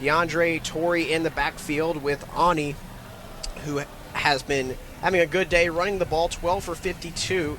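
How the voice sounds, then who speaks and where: A man talks fairly slowly in a fairly high voice with fairly even intonation. Noticeable background noise runs under the recording. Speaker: radio play-by-play announcer. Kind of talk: sports radio play-by-play.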